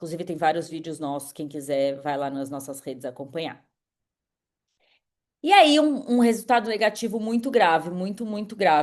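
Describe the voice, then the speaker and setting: A woman speaks at a moderate pace in a fairly low, animated voice, with very wide pitch swings and big jumps in loudness. Her pauses are long and frequent. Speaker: climate podcast host. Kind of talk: monologue summary. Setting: live stream.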